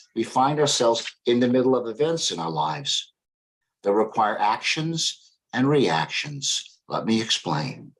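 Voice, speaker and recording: A man of medium pitch talks at a fairly slow pace, his voice making very wide pitch swings. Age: 70s. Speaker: psychology professor. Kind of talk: lecture.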